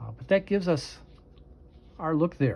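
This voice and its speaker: A somewhat breathy man at a fairly quick pace. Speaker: crafting tutorial creator. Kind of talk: tutorial. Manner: halting.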